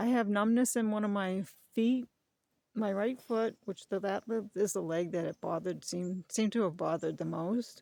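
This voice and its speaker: This woman's voice is fairly high, with a dark, mellow tone and lively intonation. The sound is dry and close, with no echo. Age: 60s. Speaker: channel owner, dog breeder. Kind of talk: personal vlog, life story. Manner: halting.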